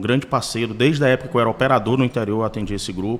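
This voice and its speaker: A man with a plain, everyday voice talks at a medium pitch with ordinary pitch variation. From Ceará, Brazil (Sertão Central). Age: 40s. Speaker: car dealership co-owner. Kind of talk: podcast interview.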